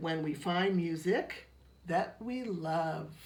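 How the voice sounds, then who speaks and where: A woman's put-on character voice, fairly low in pitch, at a very slow pace. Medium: read story.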